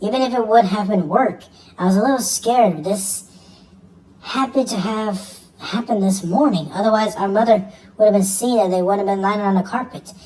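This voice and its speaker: In a put-on character voice, a female-sounding speaker talks fairly quickly at a medium pitch. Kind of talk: horror narration. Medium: read story. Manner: halting, stumbling over words.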